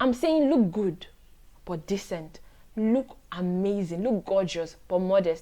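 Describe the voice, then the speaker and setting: Against a quiet background, a woman with a normal speaking voice talks at a fairly slow pace and medium pitch. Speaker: lawyer, poet, writer. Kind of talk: faith-based advice talk to camera. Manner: warm, earnest.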